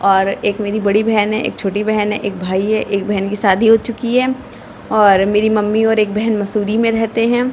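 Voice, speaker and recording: There is noticeable background noise. A woman speaks in a monotone, flat intonation at a fairly high pitch. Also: moderate pace. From northern India, Uttar Pradesh (Kanpur). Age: 20s. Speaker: vlogger. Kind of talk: casual chat.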